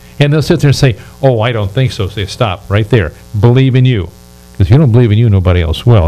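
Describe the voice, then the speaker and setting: Music plays in the background as a man talks at a very fast pace. His voice is fairly low in pitch, with lively intonation. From United States. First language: not English. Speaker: radio talk show host and relationship advisor. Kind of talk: interview talk show. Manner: animated.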